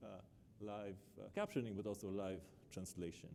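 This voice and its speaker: With an Israeli accent, a man speaks in a dark, mellow tone. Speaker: professor. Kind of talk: keynote lecture. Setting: conference stage with live captioning. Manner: many filler uhs, hesitant.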